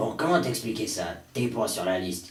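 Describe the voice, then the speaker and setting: A put-on character voice delivered at a moderate pace with lively intonation and slight echo. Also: man, medium pitch for a man. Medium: fan dub. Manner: blunt, mocking.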